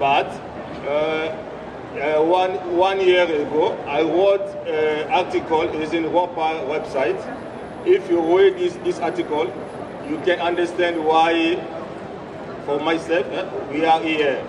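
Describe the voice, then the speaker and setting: A man's high-pitched voice at a very slow pace, with long, frequent pauses, fairly even intonation, audible room echo and noticeable background noise. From DR Congo. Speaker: refugee rights activist. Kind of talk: protest rally speech. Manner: halting, many hesitations and repetitions.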